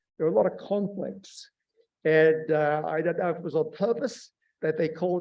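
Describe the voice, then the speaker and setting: Speaking at a fairly quick pace, a man with an Australian accent has a fairly high pitch. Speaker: surface scientist and workshop speaker. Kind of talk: lecture.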